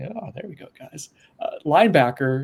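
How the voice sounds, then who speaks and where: A man speaks at a fairly high pitch and moderate pace. His voice is somewhat breathy. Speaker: sports podcast host. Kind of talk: casual chat. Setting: video podcast. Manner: monotone.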